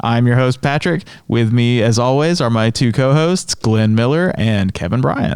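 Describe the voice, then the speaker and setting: This man has a medium-pitched voice. He speaks with an American accent. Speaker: church podcast host. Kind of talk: casual chat.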